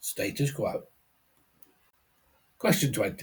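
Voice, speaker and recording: The voice is somewhat breathy, with a British accent. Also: man. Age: 60s. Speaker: quiz host and musician. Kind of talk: reading quiz questions.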